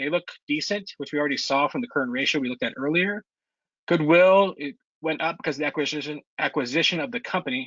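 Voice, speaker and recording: This man talks at a very fast pace with a fairly high pitch. His intonation is lively. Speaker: investment club presenter. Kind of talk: online club meeting presentation. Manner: casual, hesitant with fillers.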